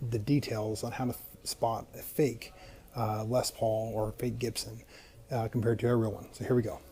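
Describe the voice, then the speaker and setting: Soft-spoken and at a medium pitch, a man talks at a fairly quick pace with monotone, flat intonation. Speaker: guitar video creator. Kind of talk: tutorial. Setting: pawn shop.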